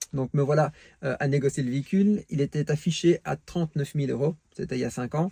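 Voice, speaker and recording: This man has a fairly high pitch, a dark, mellow tone and a somewhat breathy quality, with a Belgian accent. He speaks at a fairly quick pace with ordinary pitch variation, in a dry, close recording with no echo. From Belgium. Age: 40s. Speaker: car enthusiast vlogger. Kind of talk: casual vlog monologue. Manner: hesitant, many fillers.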